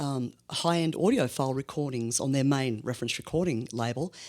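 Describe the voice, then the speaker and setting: The recording is very clean with a silent background, and on it a woman keeps a moderate pace and ordinary pitch variation. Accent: Australian. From Australia, Melbourne. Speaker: blues musician. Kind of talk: interview. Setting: studio.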